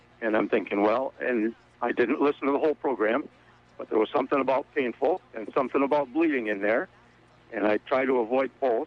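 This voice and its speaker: In a normal speaking voice, a man talks at a fairly quick pace with a medium pitch and ordinary pitch variation. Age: 60s. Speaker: caller. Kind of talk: radio call-in question.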